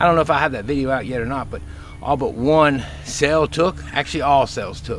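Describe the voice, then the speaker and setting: Over light background noise, a man speaks at a fairly quick pace, the sound dry with no echo. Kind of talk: casual vlog chat. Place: garden. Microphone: phone near.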